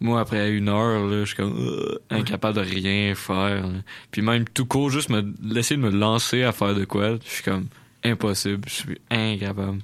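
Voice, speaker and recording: In a very clean recording with a silent background, a man with an unremarkable speaking voice speaks at a moderate pace in a fairly low pitch with fairly even intonation. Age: 20s. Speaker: substitute radio co-host. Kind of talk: casual radio chat.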